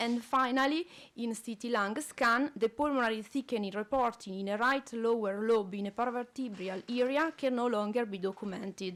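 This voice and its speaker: At a moderate pace with hardly any pauses, a woman speaks with an Italian accent at a fairly high pitch and ordinary pitch variation. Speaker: respiratory physiotherapist. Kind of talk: conference presentation. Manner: halting.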